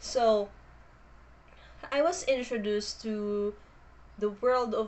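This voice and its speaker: Speaking with a Filipino accent, a woman has a fairly high pitch and ordinary pitch variation. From Philippines. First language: Filipino language. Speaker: booktuber. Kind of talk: casual vlog introduction. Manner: hesitant, with fillers.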